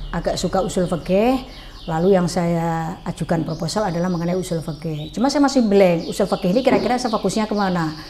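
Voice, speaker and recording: At a fairly quick pace, a woman with a plain, everyday voice speaks at fairly low pitch with ordinary pitch variation over light background noise. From Central Java, Pekalongan; Central Java, Indonesia. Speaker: former regent; guest. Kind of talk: interview. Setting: at home. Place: home room. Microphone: lapel.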